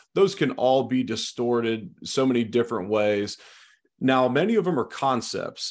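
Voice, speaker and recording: A man's normal speaking voice, medium in pitch, at a moderate pace on a very clean recording with a silent background. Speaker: former football player turned sports commentator. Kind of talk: casual chat.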